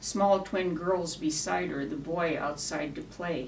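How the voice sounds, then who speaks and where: Fairly low-pitched speech from a woman at a fairly slow pace, with ordinary pitch variation and noticeable background noise. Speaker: cowboy poet. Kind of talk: poetry reading.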